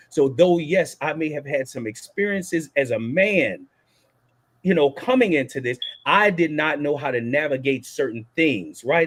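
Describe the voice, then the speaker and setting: Speaking at a moderate pace with a New Orleans accent, a man uses a fairly high pitch with ordinary pitch variation. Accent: New Orleans Southern US. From US South, New Orleans, Louisiana. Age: 40s. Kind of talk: panel discussion.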